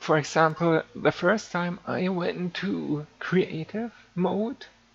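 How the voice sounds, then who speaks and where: Speech here comes very slowly. A non-native accent marks it. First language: not English. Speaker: game server admin and streamer. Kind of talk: live-streamed game tutorial. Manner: halting, with fillers.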